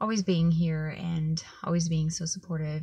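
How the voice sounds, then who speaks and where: A woman talks in a monotone, flat intonation, with a dry sound, no echo and a quiet background. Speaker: vlogger. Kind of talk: personal vlog update. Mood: low, subdued, heartfelt. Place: car. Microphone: phone near.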